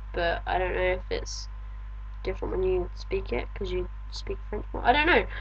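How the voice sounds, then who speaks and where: With vocal fry and flat, monotone intonation, a woman speaks in a very deep, low voice at a moderate pace, in a room with audible echo. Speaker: video blogger. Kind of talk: video diary reply.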